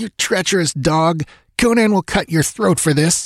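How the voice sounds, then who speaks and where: A man does a put-on character voice at a high pitch. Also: dry, close sound with no echo. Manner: angry, shouting.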